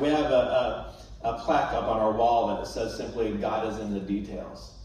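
Strong room echo surrounds a man speaking at a moderate pace. Light background noise is present. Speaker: guest. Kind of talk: sermon. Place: church.

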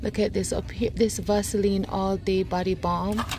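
A woman's voice with clear music in the background and a dry sound with no echo. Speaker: shopping vlogger. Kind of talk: casual vlog chat. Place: shop. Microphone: phone near.

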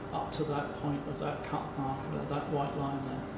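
A man speaks through loud background noise with audible room echo. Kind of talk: explanatory walkthrough. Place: workshop.

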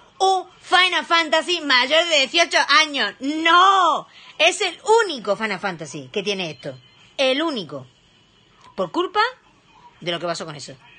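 A woman speaks in a raised, projected voice with a high pitch, a bright, sharp, animated tone, very wide pitch swings and big swings in loudness, going at a fairly slow pace with long, frequent pauses. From Spain. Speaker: streamer and criminologist; live streamer. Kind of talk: casual live stream reaction; casual live stream chat. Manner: halting. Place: home room. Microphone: phone near.

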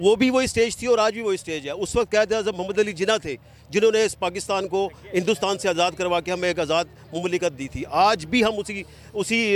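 A man with a high pitch and ordinary pitch variation at a moderate pace, in a dry sound with no echo. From Pakistan, Multan; Pakistan. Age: 50s. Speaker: rally attendee interviewed by reporter; interviewee. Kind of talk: street interview. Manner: impassioned, animated. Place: stadium.

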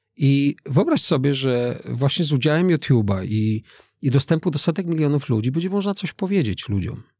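A man's voice at a moderate pace, lively in intonation, dry with no echo, over a quiet background. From Poland, Lower Silesia. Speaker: skydiver and motivational speaker; motivational speaker. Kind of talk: interview conversation. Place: studio. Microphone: studio mic.

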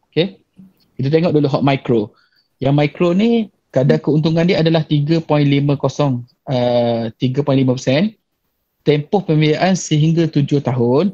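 A man's somewhat breathy, dark, mellow voice, very slow and very even in loudness, with ordinary pitch variation over a quiet background. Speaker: bank officer. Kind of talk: webinar presentation. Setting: video call. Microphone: video call.

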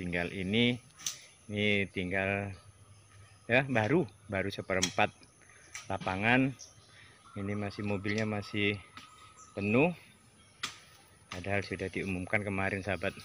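A man speaks in a fairly low pitch with fairly even intonation and long, frequent pauses. The sound is dry with no echo, over light background noise. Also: fairly slow pace. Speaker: vlogger filming community work. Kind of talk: casual vlog commentary. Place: open country. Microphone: phone near.

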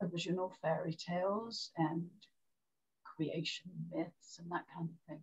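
In a British accent, a woman speaks fairly slowly with a somewhat breathy voice, a fairly low pitch and fairly even intonation, against a quiet background. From Great Britain. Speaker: storyteller. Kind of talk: interview. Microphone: video call.

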